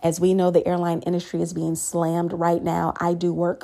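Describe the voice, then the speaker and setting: A woman's fairly low voice with a dark, mellow tone, at a moderate pace. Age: 30s. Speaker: podcast host, airline worker. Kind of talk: solo podcast monologue with tips. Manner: casual, chatty.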